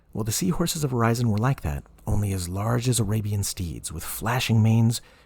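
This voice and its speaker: Somewhat breathy and fairly low-pitched, a man talks at a fairly quick pace with very wide pitch swings. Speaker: voice actor. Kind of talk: audiobook reading.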